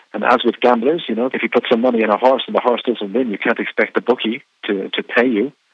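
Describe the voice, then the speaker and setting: Talking at a very fast pace with hardly any pauses, a man keeps a medium pitch and fairly even intonation. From Ireland. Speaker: radio program director. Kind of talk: interview. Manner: halting, many fillers.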